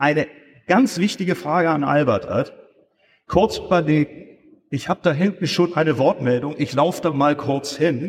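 Fairly high-pitched and somewhat breathy, a man's voice moves at a fairly slow pace. His pitch variation is ordinary. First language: German. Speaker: event organizer. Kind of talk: stage moderation. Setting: stage with audience. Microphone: poor audience recording.

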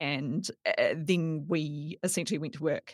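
A woman talks with a fairly low pitch. The recording sounds dry and close, without any echo. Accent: New Zealand. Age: 30s. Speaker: data journalist. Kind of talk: casual chat.

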